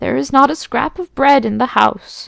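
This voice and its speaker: A woman's shaky, high-pitched put-on character voice at a moderate pace. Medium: read story.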